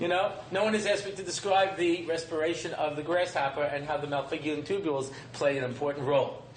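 A man with a fairly high pitch talks at a very fast pace with hardly any pauses and ordinary pitch variation, over noticeable background noise and audible room echo. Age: 50s. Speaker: rabbi and lecturer. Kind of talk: lecture. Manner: animated.

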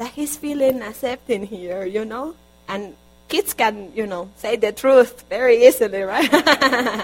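A woman with a Spanish accent speaks at a fairly high pitch, with big swings in loudness. Noticeable background noise is present. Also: ordinary pitch variation, fairly slow pace. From Colombia. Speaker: guest preacher and interpreter. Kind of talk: sermon. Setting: church.

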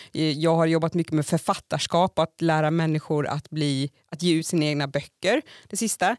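A woman speaks with a very deep, low pitch and fairly even intonation. The recording is very clean with a silent background and a dry, close sound with no echo. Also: moderate pace. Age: 30s. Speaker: podcast co-host. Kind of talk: casual chat.

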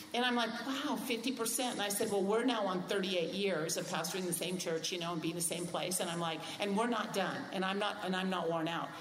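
A woman speaks at medium pitch and a fairly quick pace, with hardly any pauses. Her pitch varies in an ordinary way over noticeable background noise. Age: 60s. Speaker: pastor. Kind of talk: casual chat.

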